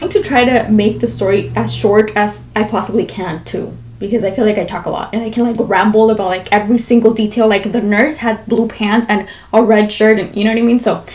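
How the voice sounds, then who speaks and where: Speaking with an American accent, a woman keeps a fairly high pitch and a fairly quick pace. Her intonation is fairly even over noticeable background noise. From Las Vegas, US. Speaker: vlogger. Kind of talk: storytelling vlog.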